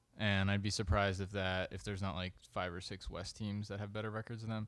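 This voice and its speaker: A man uses an ordinary speaking voice at a fairly low pitch with fairly even intonation. He keeps a moderate pace in a very clean recording with a silent background. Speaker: podcast host. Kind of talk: casual chat.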